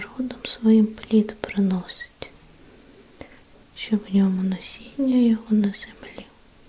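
A woman's gentle, fairly high-pitched voice with monotone, flat intonation at a very slow pace, over noticeable background noise. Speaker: ASMR Bible reader. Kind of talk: ASMR Bible reading, sleep relaxation. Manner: whispered, gentle.

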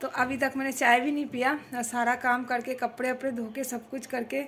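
Here a woman speaks at a fairly slow pace. There is light background noise. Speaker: home vlogger. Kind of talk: casual vlog chat. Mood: a little low, chatty. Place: home room. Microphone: phone near.

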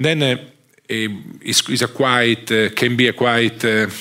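A man speaks with a strong Italian accent. The background is quiet. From Italy. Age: 50s. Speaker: economics professor. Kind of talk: lecture. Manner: halting. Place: hall.

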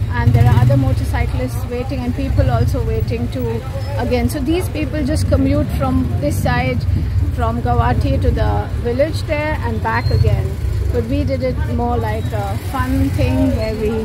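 Over loud background noise, a woman speaks at a moderate pace, the sound dry with no echo. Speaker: travel vlogger. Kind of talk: casual vlog chat. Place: boat. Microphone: phone near.

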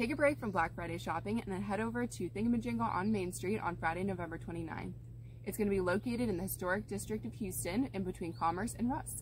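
A woman talks at a very fast pace. Light background noise can be heard. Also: dry sound with no echo. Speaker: travel video host. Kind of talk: scripted promotional presentation. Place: open country.

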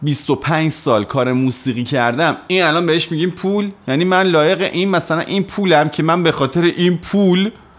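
The man's pitch is high. He talks at a moderate pace with hardly any pauses. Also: ordinary pitch variation. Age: 30s. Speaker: music youtuber and musician; music youtuber. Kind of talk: personal monologue to camera. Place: home room. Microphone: studio mic.

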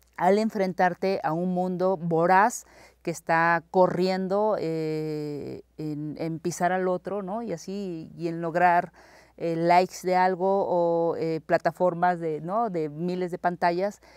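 Very slow, monotone delivery with flat intonation, dry with no echo, over a quiet background. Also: woman, fairly low pitch for a woman. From Oaxaca, Mexico (Tlaxiaco area); Oaxaca, Mexico. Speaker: actress and film director; guest. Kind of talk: casual conversation. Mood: reflective, earnest. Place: hall. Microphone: lapel.

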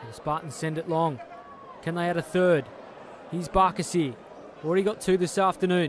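With an animated tone and a high pitch, a man speaks with long, frequent pauses. His loudness swings widely, and there is noticeable background noise. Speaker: football match commentator. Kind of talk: live sports commentary. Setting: stadium match broadcast. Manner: fast-paced, animated, excitable play-by-play; rising, emphatic delivery on goals.

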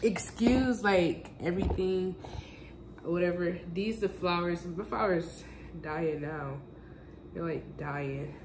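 The delivery is very slow, with long, frequent pauses and ordinary pitch variation, amid audible room echo and noticeable background noise. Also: woman, fairly low pitch for a woman. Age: 20s. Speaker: vlogger. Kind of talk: casual vlog.

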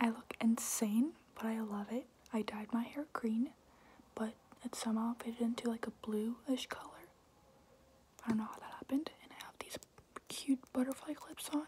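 A woman whispering at a moderate pace, with long, frequent pauses. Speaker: ASMR creator. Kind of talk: ASMR Q&A talk to camera. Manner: whispered. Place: home room. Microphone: phone near.

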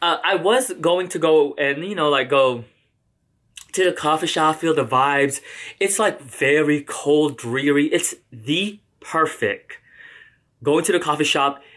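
The intonation is lively and the pace fairly slow. The background is quiet. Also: man. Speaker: book vlogger. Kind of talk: casual vlog chat. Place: home room. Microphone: camera far.

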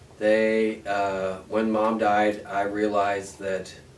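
A man speaks with an American accent. Light background noise can be heard. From US Midwest, northwest Ohio. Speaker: oral history interviewee. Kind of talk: oral history interview. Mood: relaxed, reflective. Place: home room.

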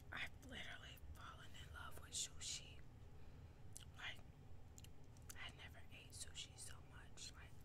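A woman speaks at a fairly slow pace against loud background noise. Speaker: ASMR mukbang creator. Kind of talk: ASMR mukbang eating talk.

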